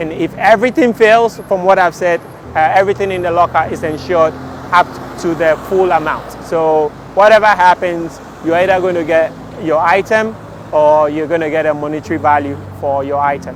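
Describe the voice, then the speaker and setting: A man with a Ghanaian accent speaks in a high voice over noticeable background noise. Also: ordinary pitch variation, fairly quick pace. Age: young. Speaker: entrepreneur, inventor. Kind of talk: interview answer.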